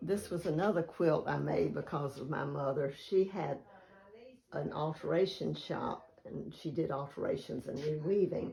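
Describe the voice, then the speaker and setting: Speaking with a Southern US accent, a woman keeps a medium pace. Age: 80s+. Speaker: quilter. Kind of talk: casual chat. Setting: at home.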